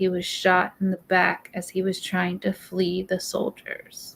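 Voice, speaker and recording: Speaking at a fairly slow pace, a woman is heard. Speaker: true crime livestream host. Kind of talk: casual discussion livestream with reading aloud. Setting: livestream. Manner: stutters when agitated.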